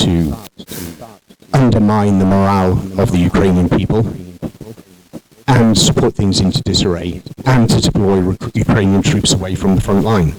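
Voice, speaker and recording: With a British accent, a man whose voice is fairly low in pitch speaks at a moderate pace with ordinary pitch variation, very even loudness, and long, frequent pauses. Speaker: military expert. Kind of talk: lecture.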